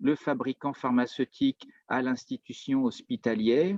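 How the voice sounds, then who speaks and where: Lively intonation marks a man speaking at a fairly high pitch. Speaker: business consultant presenting on Japanese market. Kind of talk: webinar presentation. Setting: video call webinar.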